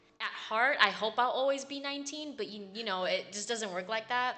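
A woman talks at a fairly quick pace in an animated, bright, sharp tone. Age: 20s. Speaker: podcast host. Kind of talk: casual chat.

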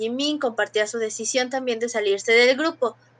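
A bright, sharp tone at a fairly quick pace, with ordinary pitch variation. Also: woman. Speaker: podcast co-host. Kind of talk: casual chat.

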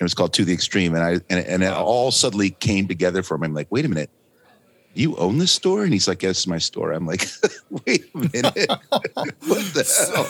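The talker is male, and his delivery is fairly quick. No echo colors the dry, close sound. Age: 50s. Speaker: podcast co-host. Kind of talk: casual chat.

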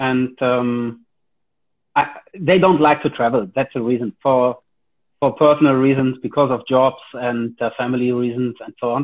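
In a German accent, a man speaks at a moderate pace and medium pitch with fairly even intonation. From Germany. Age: 40s. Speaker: karate instructor. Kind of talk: casual interview. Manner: hesitant, many fillers.

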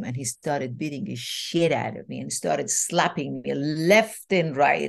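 Against a quiet background, a woman talks with vocal fry. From Iran. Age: 60s. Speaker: holistic transformational coach. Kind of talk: storytelling interview.

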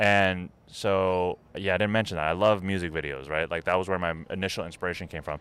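In a very clean recording with a silent background, a man with an unremarkable speaking voice talks at a moderate pace in a fairly low pitch. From New Jersey, US (Jersey City). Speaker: entrepreneur, video business owner. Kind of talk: casual chat.

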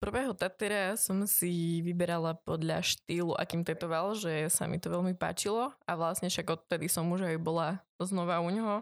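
A woman with an unremarkable speaking voice talks at a moderate pace and fairly low pitch, keeping her intonation fairly even and her loudness very even, with hardly any pauses, on a very clean recording with a silent background. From Slovakia, Trnava (born in eastern Slovakia, moved at 4-5). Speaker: tattoo artist and influencer. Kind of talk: casual interview.

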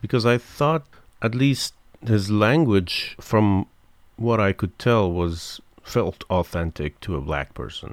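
Speaking fairly slowly with long, frequent pauses, a man with a non-native accent and a fairly low pitch uses lively intonation on a very clean recording with a silent background. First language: not English. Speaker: podcast co-host. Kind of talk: casual chat.

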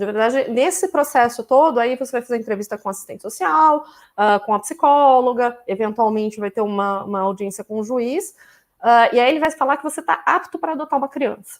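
On a very clean recording with a silent background, a woman talks at a fairly quick pace with a high pitch and lively intonation. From Campinas, São Paulo state, Brazil. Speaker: vegan food professional. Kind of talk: live stream conversation.

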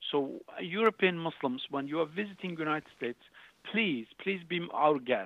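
Using lively intonation, a man with a Turkish accent talks at a moderate pace in a fairly high pitch. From Turkey, Urfa. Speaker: charity founder. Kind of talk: interview.

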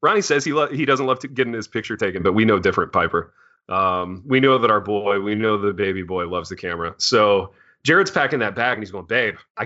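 This man has an unremarkable speaking voice with lively intonation. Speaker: podcast host. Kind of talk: casual banter. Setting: studio.

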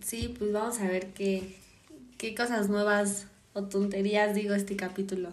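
A woman's medium-pitched, flat, monotone delivery, with audible room echo and noticeable background noise. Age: 20s. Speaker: podcast guest, host's sister. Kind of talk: casual chat.

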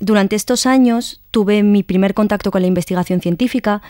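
In a Madrid accent, a woman speaks at a fairly quick pace with ordinary pitch variation, the sound dry and close with no echo. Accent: Madrid Spanish (peninsular). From Madrid, Spain. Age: 20s. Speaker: science communicator, researcher. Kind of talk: radio science show, casual explanation. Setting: community radio studio.

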